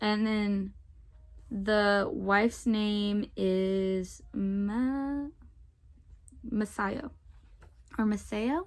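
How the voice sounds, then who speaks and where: Pausing long and often at a very slow pace, a woman talks in a medium pitch with ordinary pitch variation and a Southern Louisiana accent. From US South, Southern Louisiana. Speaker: book vlogger. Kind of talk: casual vlog.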